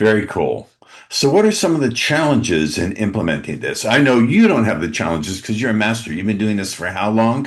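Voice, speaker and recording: The delivery is animated, with lively intonation and a fairly quick pace. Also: man, medium pitch for a man. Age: 60s. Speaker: podcast host. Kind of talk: interview.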